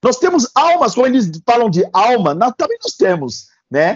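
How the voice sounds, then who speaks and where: Very wide pitch swings at a fairly slow pace. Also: man. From Gabon. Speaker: dentist and pharmacist. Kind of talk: interview answer.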